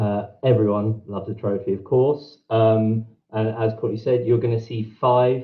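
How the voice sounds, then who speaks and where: In a British accent, a man with a medium pitch and a somewhat breathy voice speaks in a monotone, flat intonation against a quiet background. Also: moderate pace. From England, Brighton; England. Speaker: event co-host. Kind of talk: event hosting. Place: home room. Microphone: video call.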